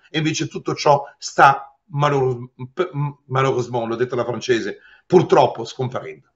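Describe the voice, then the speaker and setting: A man speaks at a fairly slow pace in a fairly high voice, somewhat breathy. His pitch moves in an ordinary way against a quiet background. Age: 60s. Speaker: lawyer. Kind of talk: interview. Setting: remote video call. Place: office. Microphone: webcam.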